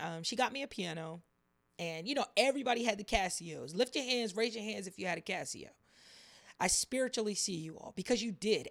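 An animated woman at a medium pitch, fairly quick pace and very wide pitch swings, in a very clean recording with a silent background. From US, military family, moved around. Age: 30s. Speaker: faith podcast host. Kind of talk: casual monologue.

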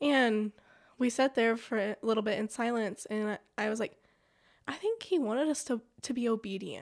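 On a very clean recording with a silent background, a woman with a West Texas accent talks at a fairly high pitch with ordinary pitch variation. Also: moderate pace. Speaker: church member. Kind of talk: testimony. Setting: studio.

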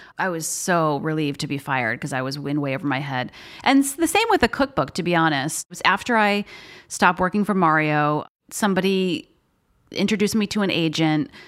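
On a very clean recording with a silent background, a woman with a plain, everyday voice and a fairly low pitch talks at a fairly quick pace with lively intonation. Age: 40s. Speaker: food writer. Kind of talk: casual interview. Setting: at her apartment.

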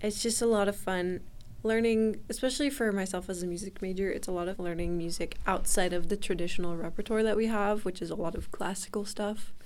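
At a fairly quick pace, a woman talks in a medium-pitched voice with fairly even intonation and audible room echo. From Utah, US. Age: 20s. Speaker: music student. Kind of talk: interview answers.

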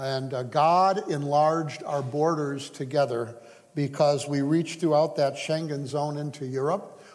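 In a room with audible echo, a man with an American accent speaks fairly slowly at a fairly high pitch with fairly even intonation. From US, Hungarian American home. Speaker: missionary. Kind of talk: sermon. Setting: church.

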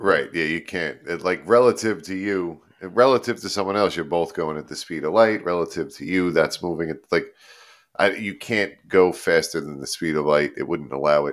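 A man's very deep, low voice at a moderate pace, with big swings in loudness, ordinary pitch variation, and a very clean recording against a silent background. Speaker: podcast host. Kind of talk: casual chat.

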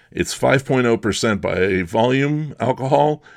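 The background is quiet as a man speaks in a plain, everyday voice. He keeps a moderate pace with ordinary pitch variation. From Bucks County, Pennsylvania. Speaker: podcast host. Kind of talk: scripted narration.

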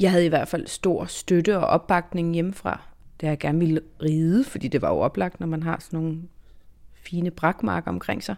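A woman's unremarkable speaking voice, fairly low in pitch with ordinary pitch variation, at a moderate pace on a very clean recording with a silent background. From southern Zealand, Denmark. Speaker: foreign correspondent and author. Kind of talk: interview conversation.

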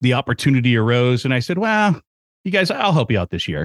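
A man of medium pitch speaks at a fairly quick pace in an enthusiastic tone. The sound is dry and close, with no echo. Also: very clean recording, silent background. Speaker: event emcee and trail advocacy coordinator. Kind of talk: casual interview, storytelling. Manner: enthusiastic, talkative.

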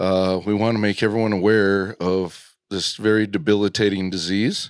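On a very clean recording with a silent background, a man with a plain, everyday voice speaks fairly slowly at a fairly low pitch, his intonation fairly even. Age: 50s. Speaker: bird hunter. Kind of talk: casual chat. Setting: hunting shack.

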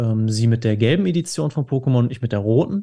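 A man speaks at a medium pitch with a dark, mellow tone. His voice is somewhat breathy, with ordinary pitch variation. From Dortmund, Ruhr area, Germany. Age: 20s. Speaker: cookbook author, gamer. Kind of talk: casual chat.

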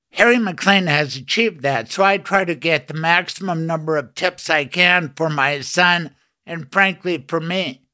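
In a very clean recording with a silent background, a man speaks at a high pitch and a fairly slow pace. His tone is bright and sharp, with ordinary pitch variation. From US West (Colorado). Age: 60s. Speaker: radio host and trial lawyer. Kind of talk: casual interview. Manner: animated.

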